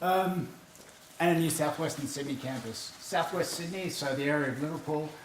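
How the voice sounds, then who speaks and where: Amid noticeable background noise and audible room echo, a man with an Australian accent talks in a fairly high pitch with fairly even intonation. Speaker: university AV manager. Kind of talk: conference presentation. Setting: stage with audience. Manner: fast.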